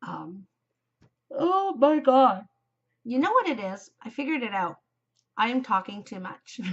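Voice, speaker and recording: A high-pitched woman talks at a fairly slow pace with long, frequent pauses, very wide pitch swings and big swings in loudness. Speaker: knitting podcaster. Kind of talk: casual chat. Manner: yawning.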